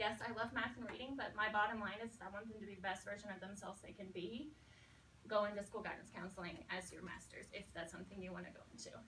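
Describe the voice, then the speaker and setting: A woman's medium-pitched voice at a very fast pace, with ordinary pitch variation, big swings in loudness and audible room echo. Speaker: elementary school teacher. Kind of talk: talk to student teachers.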